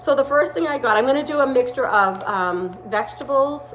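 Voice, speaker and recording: With a Boston accent, the speaker moves at a moderate pace through very wide pitch swings, against noticeable background noise and audible room echo. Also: woman. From Massachusetts, Boston area. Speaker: home gardening vlogger. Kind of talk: casual unboxing vlog. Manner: casual, with hesitations.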